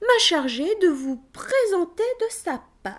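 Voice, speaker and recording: The put-on character voice swings very widely in pitch and moves at a fairly slow pace. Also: woman. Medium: read story. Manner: crafty, persuasive.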